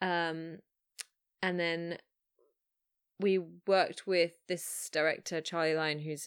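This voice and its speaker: With an English accent, a woman speaks in a fairly low pitch and fairly even intonation, leaving long, frequent pauses. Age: 30s. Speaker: filmmaker. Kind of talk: casual chat. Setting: remote call.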